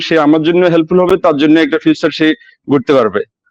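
In a normal speaking voice, a man talks at a fairly high pitch. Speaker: migrant worker in Oman. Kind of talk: live talk show call-in. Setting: video call from a mobile phone shop.

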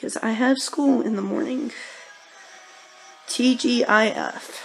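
Over noticeable background noise, a woman with a high pitch speaks at a very slow pace with fairly even intonation. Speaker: teacher. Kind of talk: casual video tour.

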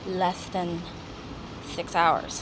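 There is noticeable background noise behind this woman as she speaks. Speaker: vlogger giving a resort room tour. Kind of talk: casual video tour. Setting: hotel room and balcony.

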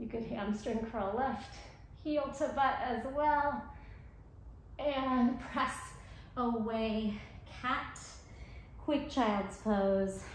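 A woman with a high pitch and ordinary pitch variation speaks at a very slow pace with long, frequent pauses. Light background noise and audible room echo are present. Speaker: yoga instructor. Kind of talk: tutorial. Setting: filmed home workout video, speaking to camera. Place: hall.

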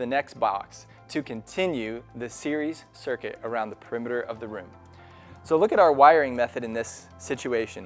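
Faint music sits behind a man speaking at a moderate pace. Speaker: electrician instructor. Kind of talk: tutorial.

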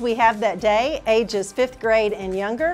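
Faint background music accompanies a woman speaking at a moderate pace. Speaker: church announcer. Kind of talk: announcement to camera. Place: studio. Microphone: lapel.

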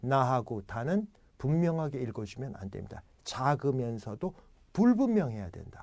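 A man's medium-pitched voice with very wide pitch swings, at a fairly slow pace. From South Korea. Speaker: English teacher. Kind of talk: lecture. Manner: animated.

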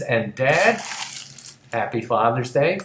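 There is light background noise and audible room echo as a man talks with an American accent. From United States. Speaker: TV comedy writer and producer. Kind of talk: comedic promo talk to camera. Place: home room. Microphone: webcam.

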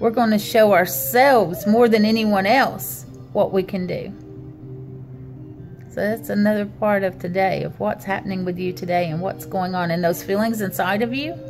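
A woman speaks at a moderate pace. Clear music can be heard in the background. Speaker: spiritual reader. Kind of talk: motivational monologue. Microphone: phone near.

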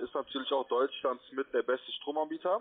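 This man has an unremarkable speaking voice, pitched fairly high, with ordinary pitch variation. He talks at a moderate pace against a quiet background. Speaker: telemarketer; call center sales agent. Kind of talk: sales pitch. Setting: phone call. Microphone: phone line.

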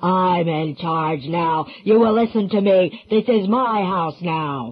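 A put-on character voice growls along at a fairly slow pace. It sounds raspy and sits at a middle pitch. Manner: snarling, domineering.

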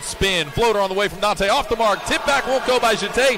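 A man with a high pitch uses a raised, projected voice. Noticeable background noise is present. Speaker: play-by-play announcer. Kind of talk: live sports commentary. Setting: arena broadcast. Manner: rapid, fluent, clipped play-by-play delivery.

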